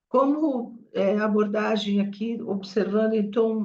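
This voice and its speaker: A woman's somewhat breathy voice keeps a fairly even intonation as she talks at a fairly slow pace. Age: 70s. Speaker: cause communication professional. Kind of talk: meeting discussion remarks.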